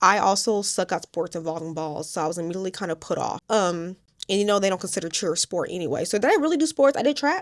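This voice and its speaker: A woman talks at a very fast pace in an animated tone. Her intonation is lively. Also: medium pitch for a woman. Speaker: YouTuber and self-published author. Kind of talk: casual vlog talk.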